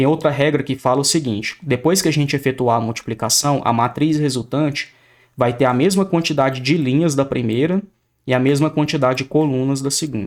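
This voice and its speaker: An unremarkable speaking voice from a man, fairly high in pitch, with ordinary pitch variation, a fairly quick pace and a very clean recording over a silent background. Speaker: math teacher. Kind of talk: lecture.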